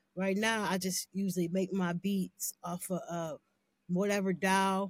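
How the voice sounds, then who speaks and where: A woman speaks at a fairly slow pace and medium pitch in a somewhat breathy voice. Her intonation is monotone and flat, and the sound is dry and close with no echo. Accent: American. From Canton, Ohio. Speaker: R&B singer. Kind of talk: casual interview chat.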